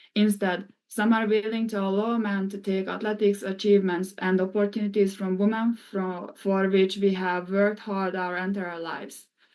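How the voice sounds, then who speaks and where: This woman speaks at a moderate pace with a Hungarian accent. Her medium-pitched voice stays monotone and flat. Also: hardly any pauses. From Hungary. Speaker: former college swimmer. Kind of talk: testimony. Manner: formal.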